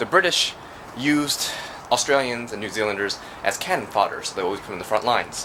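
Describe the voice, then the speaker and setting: Noticeable background noise runs under a very fast delivery with lively intonation. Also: man, medium pitch for a man. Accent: American. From United States. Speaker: travel vlogger. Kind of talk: casual vlog narration. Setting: outdoors, walking in city streets. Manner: casual, filler-heavy.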